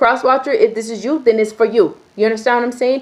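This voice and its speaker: A woman with a high pitch talks in an animated tone. Her pace is fairly quick. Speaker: tarot reader. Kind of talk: tarot reading monologue. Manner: fast.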